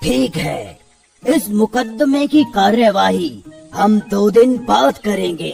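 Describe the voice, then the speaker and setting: A man does a cartoonish character voice with a high pitch at a very slow pace. Faint music plays in the background. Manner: authoritative.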